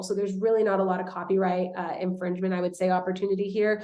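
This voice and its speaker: A woman is speaking. Her voice sits at a medium pitch. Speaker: social media marketing coach. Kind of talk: webinar presentation. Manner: fast.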